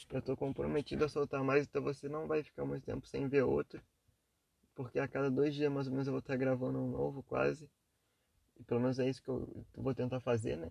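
A man speaks quietly. His pace is fairly quick. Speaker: podcaster. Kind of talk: casual monologue. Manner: quiet, low energy.

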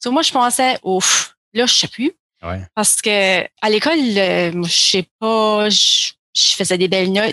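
Speaking very slowly, a woman has a bright, sharp tone and a medium pitch. Her pitch varies in an ordinary way, and the sound is dry and close with no echo. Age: 30s. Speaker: counselling therapist. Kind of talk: interview conversation.

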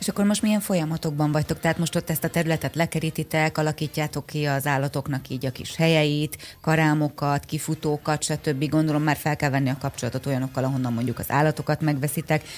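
A woman talks at a very fast pace in a very deep, low pitch. Her intonation stays fairly even. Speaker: radio morning show co-host. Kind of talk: radio interview. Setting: studio.

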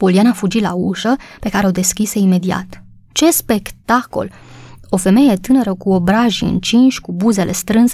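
The plain reading aloud carries ordinary pitch variation.

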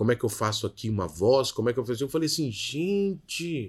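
Speaking at a moderate pace with lively intonation, a man with a fairly high pitch and a normal speaking voice is heard in a very clean recording with a silent background. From Rio de Janeiro suburbs, Brazil; moved to Minas Gerais at 13. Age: 30s. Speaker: creative consultant and entrepreneur. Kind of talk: interview.

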